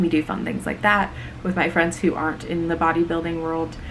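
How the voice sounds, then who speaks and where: A soft-spoken woman with a very deep, low pitch at a moderate pace, over noticeable background noise. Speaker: bodybuilding coach and competitor. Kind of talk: casual chat.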